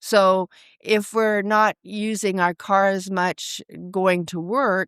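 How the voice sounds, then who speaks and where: The recording is very clean, with a silent background and a dry, close sound without echo. A woman at medium pitch speaks very slowly in a monotone, flat intonation. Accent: Canadian. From Vancouver, Canada. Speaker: financial advisor. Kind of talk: interview.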